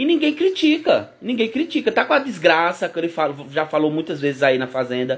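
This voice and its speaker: A man speaks in an animated tone at a fairly quick pace. The recording is very clean, with a silent background. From Brazil, Pernambuco. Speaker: YouTuber, reality show commentator. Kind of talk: casual vlog commentary.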